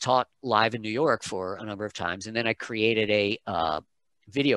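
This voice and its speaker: A man with an American accent, fairly low in pitch and bright, sharp in tone, at a moderate pace, in a dry sound with no echo over a quiet background. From United States, childhood in Malaysia and England. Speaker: pronunciation coach, voice talent, singer. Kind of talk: interview answer. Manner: casual, conversational. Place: home room. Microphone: headset.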